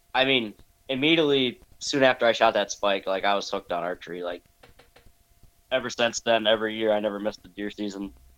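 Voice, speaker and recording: At a very fast pace, a man with a medium pitch talks in an American accent. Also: ordinary pitch variation. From US Midwest (northeast Wisconsin). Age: 30s. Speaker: deer hunter. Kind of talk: casual interview.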